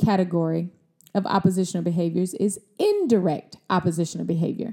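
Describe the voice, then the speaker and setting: Here a woman talks at a fairly quick pace with an American accent. Her tone is dark and mellow, at a medium pitch. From Mississippi, US South. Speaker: wellness podcast host, doctor. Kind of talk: solo podcast talk, motivational teaching.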